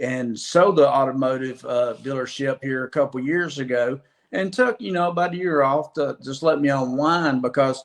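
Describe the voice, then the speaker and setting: A man speaks with an Alabama accent and ordinary pitch variation. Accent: Southern US (Alabama). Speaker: former car dealer, construction sales. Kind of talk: podcast interview.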